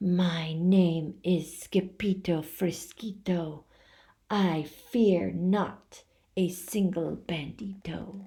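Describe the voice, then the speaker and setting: A woman uses a put-on character voice, growling at a fairly low pitch. She is soft-spoken, timid in tone, and speaks at a very slow pace. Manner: timid, trembling.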